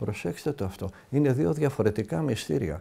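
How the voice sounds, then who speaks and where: In a very clean recording with a silent background, a man at medium pitch speaks at a moderate pace in a dark, mellow tone with vocal fry and very wide pitch swings. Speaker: Orthodox monastic elder from Mount Athos giving a talk. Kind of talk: religious talk answering a listener's question.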